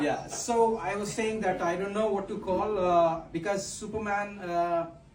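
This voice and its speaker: There is audible room echo as a man talks with fairly even intonation. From Pakistan. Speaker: stand-up comedian. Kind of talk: stand-up. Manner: halting, many fillers.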